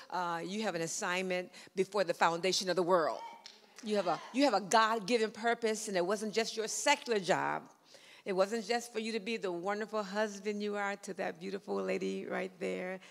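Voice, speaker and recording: Her pace is moderate. She keeps her intonation fairly even. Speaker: pastor. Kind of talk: sermon. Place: church. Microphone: handheld.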